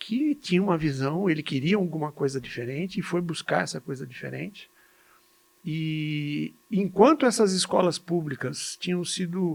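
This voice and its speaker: Man with a fairly high pitch, ordinary pitch variation and a moderate pace. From Brazil, São Paulo state (Jundiaí). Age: 60s. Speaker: physician and medical educator. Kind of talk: podcast interview. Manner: halting, with repetitions.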